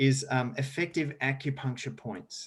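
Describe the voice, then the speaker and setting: A man speaks with an Australian accent. His voice sits at a medium pitch. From rural South Australia. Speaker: sustainability educator and speaker. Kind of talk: podcast interview.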